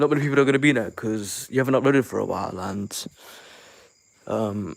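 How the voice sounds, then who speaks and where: Vocal fry marks a man's voice at a medium pitch. He talks at a fairly quick pace with ordinary pitch variation. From London, England. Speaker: YouTube reaction creator. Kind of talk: casual livestream chat. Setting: livestream via the Shorts tab. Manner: halting, with repeated words.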